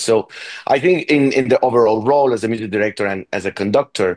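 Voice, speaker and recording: A man talks with a Spanish accent and ordinary pitch variation. The sound is dry and close with no echo, and the background is quiet. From Venezuela. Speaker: orchestra conductor. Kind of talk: interview. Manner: halting, many repetitions.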